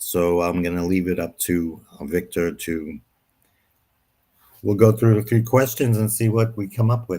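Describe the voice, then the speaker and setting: In a very clean recording with a silent background, a man with a dark, mellow tone and fairly low pitch talks at a moderate pace, his ordinary pitch variation broken by long, frequent pauses. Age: 70s. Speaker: guest speaker on mental health. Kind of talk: interview discussion. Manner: halting, many fillers.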